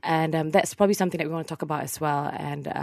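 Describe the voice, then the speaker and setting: A woman with a fairly low pitch and vocal fry speaks against a quiet background. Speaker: book reviewer. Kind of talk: casual chat. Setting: studio.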